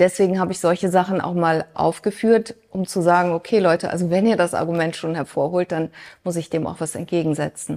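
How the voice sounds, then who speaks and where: A woman's fairly low, dark, mellow voice with fairly even intonation and a fairly quick pace. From Germany, Mönchengladbach. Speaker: business consultant and economics expert. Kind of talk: interview before a live audience.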